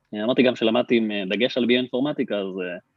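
This is a man with a medium pitch. His pitch varies in an ordinary way. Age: 30s. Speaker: startup CTO and co-founder. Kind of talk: podcast interview.

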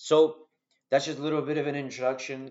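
A man speaks with a Canadian accent. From Argentina. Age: 20s. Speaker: podcast host, social worker. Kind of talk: solo podcast monologue. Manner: casual, with many filler words.

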